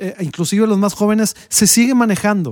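A very clean recording, silent background, with a dry, close sound with no echo. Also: man. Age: 40s. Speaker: music teacher and podcast host. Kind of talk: casual chat.

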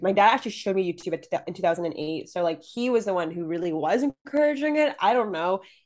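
The voice moves at a very fast pace with an animated tone and very wide pitch swings. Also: woman. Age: 20s. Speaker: YouTuber and agency founder. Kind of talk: casual interview chat.

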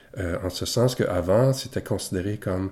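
A man's very deep, low voice with a Quebec accent, dark and mellow in tone, somewhat breathy, with ordinary pitch variation. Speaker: podcast host, physiotherapist. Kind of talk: scripted narration; interview.

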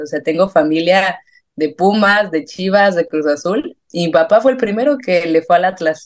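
A fairly slow, medium-pitched woman's voice in a central Mexican accent, with lively intonation. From Mexico, San Miguel de Allende. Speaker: football fan and sports journalism student. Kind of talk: casual interview.

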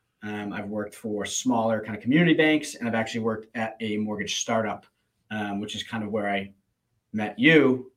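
A man with an American accent speaks in a plain, everyday voice at a medium pitch with ordinary pitch variation. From Plymouth, Massachusetts. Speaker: mortgage professional and podcast co-host. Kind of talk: casual chat.

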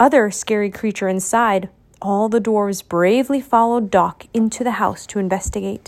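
Speech in an unforced reading voice

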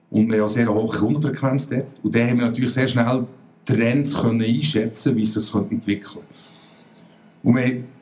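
Speaking fairly quickly at medium pitch, a man keeps very even loudness and fairly even intonation amid noticeable background noise. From Switzerland, Bern. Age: 40s. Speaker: retail company CEO. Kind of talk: interview.

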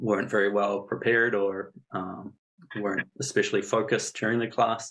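Someone with a New Zealand accent talks at a moderate pace. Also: man. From New Zealand (Napier). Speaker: statistician and data analyst. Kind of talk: interview.

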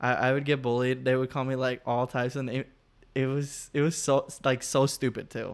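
In a Spanish accent, a man of medium pitch speaks at a moderate pace with a monotone, flat intonation. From Latin America. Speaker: podcast host. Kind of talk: casual chat between friends.

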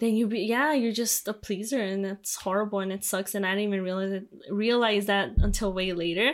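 In a very clean recording with a silent background, a woman with a Spanish accent speaks at a fairly quick pace and medium pitch, her intonation fairly even. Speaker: podcast co-host. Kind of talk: casual chat. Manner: halting.

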